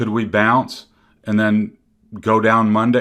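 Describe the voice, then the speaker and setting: In a normal speaking voice with a fairly low pitch, a man talks at a moderate pace on a very clean recording with a silent background. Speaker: stock market analyst. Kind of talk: market analysis commentary. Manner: casual, with fillers.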